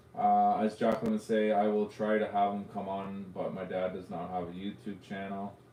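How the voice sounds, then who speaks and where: Audible room echo around a man's fairly low-pitched voice, moving at a moderate pace. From Canada, Ontario (Arnprior area). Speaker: drone youtuber hosting live show. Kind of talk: casual live stream chat. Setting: live stream.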